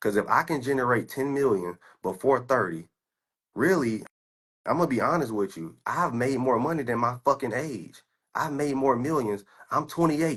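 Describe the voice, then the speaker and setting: A man talks at a moderate pace in a medium pitch. His tone is animated and his intonation lively. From US. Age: 20s. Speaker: stock trader. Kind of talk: heated rant.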